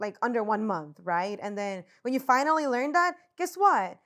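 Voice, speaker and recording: A woman with a Spanish accent, on a very clean recording with a silent background. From Puerto Rico. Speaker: podcast co-host, social entrepreneur. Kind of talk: casual chat.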